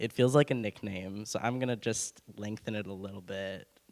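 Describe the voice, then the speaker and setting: On a very clean recording with a silent background, a man with a Californian accent talks at a moderate pace in a medium pitch with ordinary pitch variation. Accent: General American (California). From Benicia, California. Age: 20s. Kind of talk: personal testimony on a panel. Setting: church hall with audience, passed mic. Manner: casual, hesitant with fillers.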